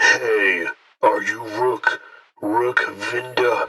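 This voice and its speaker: A man puts on a raspy character voice. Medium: audio drama. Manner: brisk, official.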